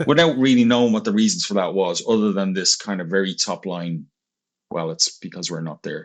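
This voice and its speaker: A man speaks fairly quickly with an Irish accent and lively intonation. His pitch is fairly low, and the background is quiet. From Ireland. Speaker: marketing agency executive. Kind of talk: interview.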